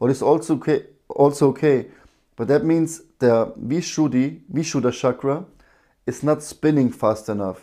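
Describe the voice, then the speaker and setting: A man's dark, mellow voice carries lively intonation on a very clean recording with a silent background. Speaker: breathwork and meditation teacher. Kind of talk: live-streamed breathwork session talk. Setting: live stream. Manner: loud.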